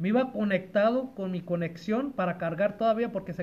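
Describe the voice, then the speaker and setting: Amid noticeable background noise, a man with a high-pitched voice talks at a fairly quick pace with ordinary pitch variation. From Los Angeles area, California. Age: 40s. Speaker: used car dealer. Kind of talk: casual chat. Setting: at home with family around.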